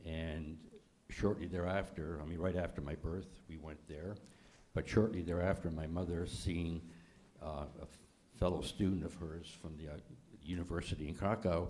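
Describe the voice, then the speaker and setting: A man speaks at a very deep, low pitch in a dark, mellow tone, with fairly even intonation. Long, frequent pauses break up his speech amid audible room echo. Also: moderate pace, big swings in loudness. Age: 80s+. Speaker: holocaust survivor. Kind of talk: panel discussion. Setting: congregation event with audience.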